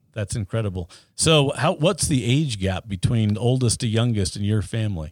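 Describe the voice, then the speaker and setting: A plain, everyday voice, a man with an American accent, medium pitch and lively intonation at a moderate pace in a very clean recording over a silent background. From Utah (Ogden). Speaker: podcast host, former party official. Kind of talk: interview.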